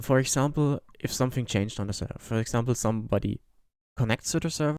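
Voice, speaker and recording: A man at medium pitch talks at a very fast pace on a very clean recording with a silent background. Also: ordinary pitch variation, dry, close sound with no echo. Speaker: software developer. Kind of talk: software tutorial narration. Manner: sleepy, low-energy; hesitant, frequent fillers.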